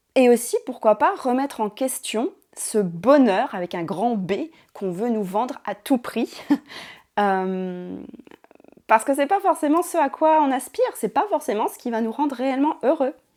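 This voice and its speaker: Over a very clean recording with a silent background, a woman with a high pitch speaks at a fairly slow pace, using very wide pitch swings and long, frequent pauses. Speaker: ASMR creator. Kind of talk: casual reflective talk to camera. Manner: soft-spoken.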